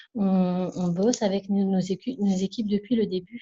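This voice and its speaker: Soft-spoken and somewhat breathy, a woman with a medium pitch and a dark, mellow tone talks at a moderate pace in a monotone, flat intonation. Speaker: network marketing distributor. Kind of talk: testimony. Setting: video call.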